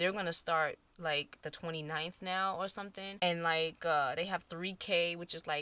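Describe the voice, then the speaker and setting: Bright and sharp in tone, a woman speaks with a New York accent and hardly any pauses. Her fairly low pitch stays monotone and flat. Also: moderate pace. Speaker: beauty YouTuber. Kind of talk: casual vlog chat. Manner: casual, conversational.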